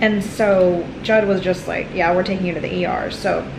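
Noticeable background noise behind a woman whose pitch varies in the usual way. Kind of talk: casual vlog chat. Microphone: phone near.

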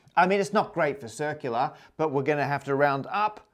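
Ordinary pitch variation marks this man's speech. He talks at a moderate pace against a quiet background. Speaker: presenter. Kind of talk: lecture. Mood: playful explanatory. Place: home room. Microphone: lapel.

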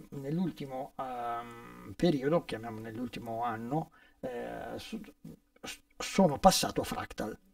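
Speaking at a very slow pace, a man leaves long, frequent pauses and swings widely in loudness. The sound is dry, with no echo and a quiet background. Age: 60s. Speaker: session guitarist; guest. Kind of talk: casual interview. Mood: relaxed, friendly. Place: studio.

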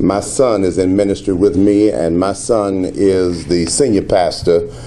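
Over light background noise, a man with an American accent speaks at a fairly slow pace, his very deep, low voice held at very even loudness. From Southern US. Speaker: pastor. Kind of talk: press conference answers. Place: hall. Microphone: podium.

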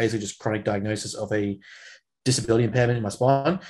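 Someone speaks with an Australian accent over a quiet background. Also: man. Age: 20s. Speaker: strength coach and podcast co-host; strength coach, podcast co-host. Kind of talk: casual chat. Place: home room. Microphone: video call.

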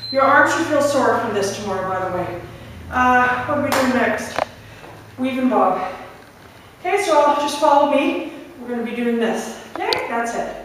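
With long, frequent pauses, a woman speaks at a high pitch amid noticeable background noise and strong room echo. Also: moderate pace. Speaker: fitness instructor. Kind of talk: live guided workout, barking interval cues and countdowns. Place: gym. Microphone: camera far.

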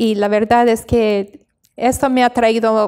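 A woman speaks at a very slow pace in a high voice against a quiet background. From Bolivia (La Paz), from age six, missionary family. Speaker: missionary; interview guest. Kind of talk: interview. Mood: warm, earnest, sometimes smiling. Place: studio. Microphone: handheld.

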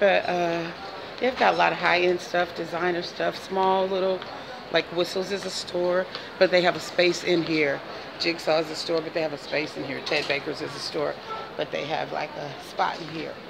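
Amid noticeable background noise, a woman talks at a moderate pace with fairly even intonation. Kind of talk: casual vlog chat. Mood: playful, laughing. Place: shop. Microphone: phone near.

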